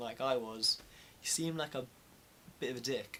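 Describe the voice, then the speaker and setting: This man talks with a British accent. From UK. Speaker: vlogger. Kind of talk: casual chat. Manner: animated.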